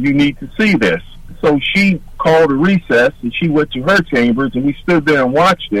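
At a moderate pace, a man with an American accent and a plain, everyday voice speaks fairly high with lively intonation. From Detroit, Michigan. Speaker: army veteran and retired state trooper. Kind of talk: radio interview.

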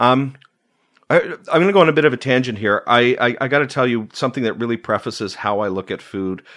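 Against a quiet background, a man talks at a very fast pace in a Canadian accent, his intonation lively. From Ontario, Canada (Uxbridge area, near Toronto). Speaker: food preservation blogger and cookbook author. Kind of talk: casual interview. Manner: articulate.

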